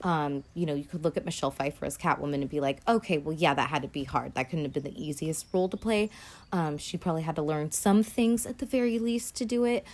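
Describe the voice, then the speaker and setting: A woman talks at a very fast pace in a very deep, low pitch. Her pitch swings very widely. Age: 30s. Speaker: podcast host. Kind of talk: solo casual commentary. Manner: casual with frequent fillers.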